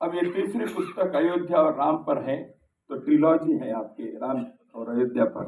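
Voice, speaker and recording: A man speaks at a moderate pace with a fairly high pitch and very wide pitch swings. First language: Kannada (speaking Hindi). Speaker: speaker at a book launch. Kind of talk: formal speech. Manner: formal.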